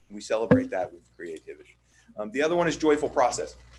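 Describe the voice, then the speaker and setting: At a fairly quick pace, a man talks. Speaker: architect presenting to school board. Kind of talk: sales pitch. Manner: fast.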